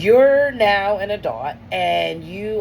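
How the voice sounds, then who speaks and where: A woman talks in an animated tone. Audible room echo and noticeable background noise surround her voice. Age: 30s. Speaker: comedian and podcast host. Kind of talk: solo podcast monologue. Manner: casual, animated.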